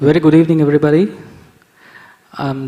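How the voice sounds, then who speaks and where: Noticeable noise sits in the background. Over it, a man talks with fairly even intonation. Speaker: entrepreneur. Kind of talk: panel discussion.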